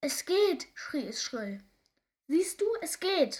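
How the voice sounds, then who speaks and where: A woman's shrill put-on character voice at an extremely high pitch, with very wide pitch swings and a very slow pace. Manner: excited, shrieking.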